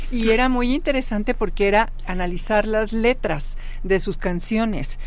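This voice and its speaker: Noticeable background noise and audible room echo surround the voice. A woman at a fairly high pitch speaks at a moderate pace with ordinary pitch variation. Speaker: law professor. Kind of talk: radio interview.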